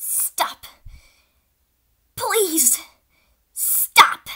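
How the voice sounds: A woman performs a cartoonish character voice, extremely high and bright, sharp in tone, with big pitch swings. She goes at a very slow pace while faint music plays in the background.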